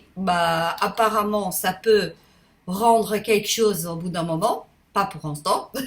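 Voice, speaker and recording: A woman is speaking. She talks at a very slow pace. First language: Portuguese (speaking French). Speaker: YouTuber. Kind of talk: casual vlog monologue. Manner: halting, many hesitations; spontaneous, unedited.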